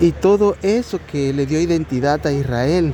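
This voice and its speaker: A man's pitch moves in an ordinary way while noticeable background noise carries on behind him. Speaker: lay preacher. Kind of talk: bible study. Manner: slow; halting.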